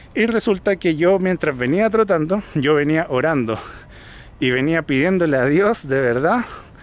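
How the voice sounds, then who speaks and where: In a Chilean accent, a man with a fairly high pitch talks at a fairly slow pace with lively intonation and very even loudness, the sound dry with no echo. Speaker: vlogger. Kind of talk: casual vlog monologue. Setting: outdoors, hill park after cycling. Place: open country. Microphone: phone near.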